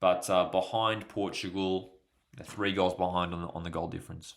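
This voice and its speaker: In a very clean recording with a silent background, a man speaks in an Australian accent with a very deep, low pitch. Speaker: football YouTuber. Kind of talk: live match commentary and chat. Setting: livestream. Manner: casual, conversational.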